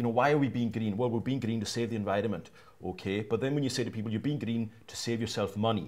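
Speaking very fast, a man keeps a medium pitch and fairly even intonation. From Isle of Lewis, Outer Hebrides, Scotland; Scotland. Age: young. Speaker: crofter and broadcaster; panelist. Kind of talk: panel discussion. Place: hall.

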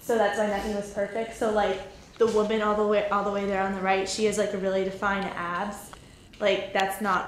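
Her delivery is monotone and flat, at a fairly quick pace. Light background noise and audible room echo surround this woman's voice. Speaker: friend acting as tour guide. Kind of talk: casual informal explanation. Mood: light, joking. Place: hall. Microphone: phone near.

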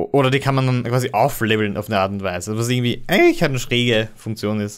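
On a very clean recording with a silent background, a man with a medium pitch talks at a very fast pace. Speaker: podcast host. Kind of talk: casual chat. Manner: halting.

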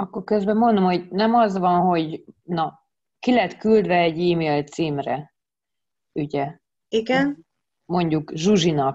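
A woman's very slow voice, fairly low in pitch, with long, frequent pauses over a quiet background. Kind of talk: meeting explanation. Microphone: video call.

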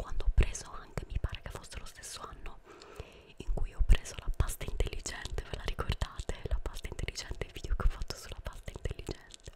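Whispering and soft-spoken, a woman talks at a fairly quick pace. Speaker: ASMR creator. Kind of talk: soft-spoken ASMR show and tell. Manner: soft close-mic whisper. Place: home room. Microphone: studio mic.

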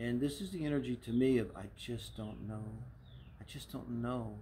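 Over light background noise, a man's voice comes through somewhat breathy. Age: 60s. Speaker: tarot reader and astrologer; tarot reader. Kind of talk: tarot reading monologue; casual reading commentary. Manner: casual, with frequent fillers. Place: garden.

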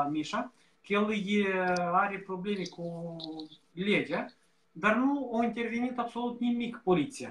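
Pitched high, a man's voice shows ordinary pitch variation. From Moldova. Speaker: campaign volunteer; guest. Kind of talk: casual chat. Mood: thoughtful, concerned. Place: home room. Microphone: earbuds.

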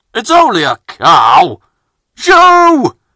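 Pitch runs extremely high in this put-on character voice. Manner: hissing, dismissive.

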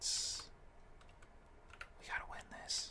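Whispered words come at a very slow pace. Noticeable background noise sits behind them. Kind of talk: ASMR gaming ramble to camera; casual talk to camera. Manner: casual, chatty.

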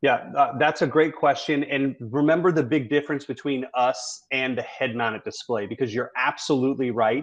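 A man with an American accent talks at a moderate pace and a fairly high pitch in a plain, everyday voice. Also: ordinary pitch variation, hardly any pauses. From US South. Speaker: career and technical education executive; webinar presenter. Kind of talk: webinar presentation. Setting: video call. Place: home room. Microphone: video call.

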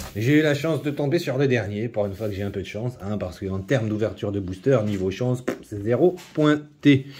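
Over light background noise, a man with a dark, mellow tone and a somewhat breathy voice speaks with lively intonation and hardly any pauses. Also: moderate pace. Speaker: YouTuber opening trading card packs. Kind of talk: casual unboxing video monologue. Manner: hesitant, many fillers and repetitions; low-energy, trying to sound livelier. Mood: enthusiastic, mildly wry. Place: home room. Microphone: phone near.

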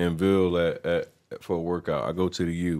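A man with a very deep, low voice talks at a moderate pace in a very clean recording with a silent background. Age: 30s. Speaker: podcast host, former football player, salesman. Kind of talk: casual interview chat.

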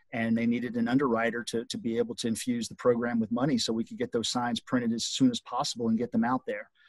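Talking very fast with hardly any pauses, a man with an American accent holds a medium pitch and a monotone, flat intonation, recorded with a dry sound with no echo against a quiet background. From grew up all over the US. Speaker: realtor; guest. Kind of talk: interview. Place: home room. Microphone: video call.

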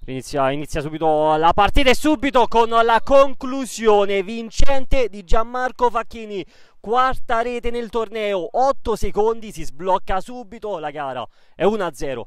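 A man with a high-pitched voice speaks at a fairly slow pace, his intonation lively and his loudness swinging widely, on a very clean recording with a silent background. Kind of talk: live sports commentary.

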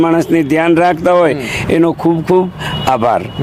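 Noticeable background noise accompanies a man talking in a fairly high voice. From Gujarat, Saurashtra (Jamnagar district village), family roots in Rajasthan. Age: 70s. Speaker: elderly craftsman interviewed on the street. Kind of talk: street interview.

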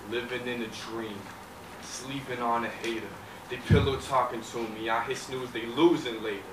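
Noticeable background noise is present. Through it, a man talks. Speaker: talent show performer. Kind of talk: spoken word poetry performance. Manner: rhythmic, dramatic delivery. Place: stage. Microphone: pa.

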